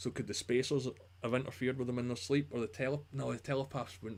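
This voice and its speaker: A medium-pitched man at a very fast pace, with vocal fry. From Scotland, near Glasgow. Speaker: YouTube TV show commentator. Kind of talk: live stream chat reading comments. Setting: live stream. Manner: casual, conversational.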